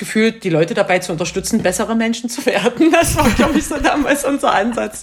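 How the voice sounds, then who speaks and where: A woman races along very fast, her pitch swinging very widely over noticeable background noise. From Saxony, Bautzen. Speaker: creative industry consultant. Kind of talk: casual interview.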